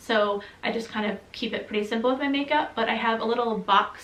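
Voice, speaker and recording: A woman with an American accent speaks at a fairly quick pace with fairly even intonation. Audible room echo and noticeable background noise are present. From US Midwest, Michigan. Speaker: vlogger. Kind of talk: casual Q&A vlog. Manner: chatty, many fillers.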